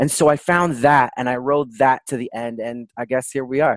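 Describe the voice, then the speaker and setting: In a normal speaking voice, a man with a Canadian accent talks at medium pitch with fairly even intonation. The sound is dry and close, with no echo. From Toronto, Canada. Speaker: palliative care doctor. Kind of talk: interview conversation.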